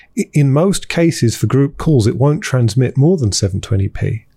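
This man has a British accent and a dark, mellow, somewhat breathy tone. He talks at a moderate pace with lively intonation. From countryside England (partly New Zealand). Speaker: tech company founder. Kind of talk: interview. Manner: halting, frequent repetitions.

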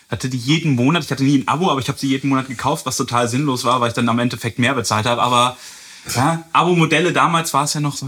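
A man talks at a very fast pace with a fairly high pitch and ordinary pitch variation. Noticeable background noise is present. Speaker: podcast host, music reviewer. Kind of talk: casual chat.

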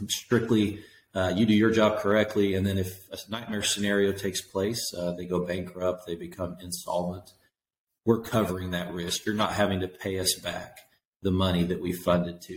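A man with a Tennessee accent, very deep and low in pitch, at a moderate pace with fairly even intonation. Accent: Southern US (Tennessee). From East Tennessee. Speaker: factoring company owner. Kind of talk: interview.

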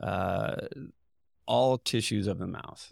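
On a very clean recording with a silent background, a man with a Midwestern US accent speaks at a fairly low pitch with vocal fry. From Indiana. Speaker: dentist. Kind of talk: casual interview.

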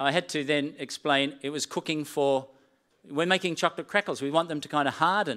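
A man speaks at a fairly quick pace with an Australian accent. His voice is fairly high-pitched, and the sound is dry and close with no echo. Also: ordinary pitch variation, very clean recording, silent background. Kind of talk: sermon. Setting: church with live stream.

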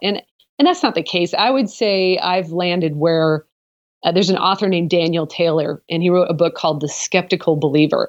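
A woman with an American accent speaks in an unremarkable speaking voice of medium pitch. Her pace is moderate and her pitch varies in an ordinary way. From US Pacific Northwest (Portland, Oregon). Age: 40s. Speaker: apologetics professor and author. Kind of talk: interview.

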